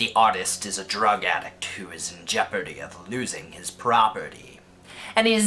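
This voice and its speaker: A put-on character voice at a moderate pace. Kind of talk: casual video essay narration. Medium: comedy sketch. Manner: casual, lightly sarcastic.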